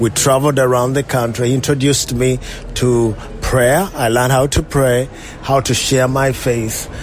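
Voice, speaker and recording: A man's medium-pitched voice, monotone and flat, at a moderate pace and very even loudness, over noticeable background noise. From Uganda, near Kampala. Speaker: pastor. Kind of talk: interview testimony.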